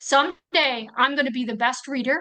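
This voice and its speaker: A woman speaks in a high, bright and sharp voice with an animated tone. Her voice is raised and projected. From US Midwest, northern Wisconsin. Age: 60s. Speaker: Paralympic athlete and army veteran. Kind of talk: interview testimony.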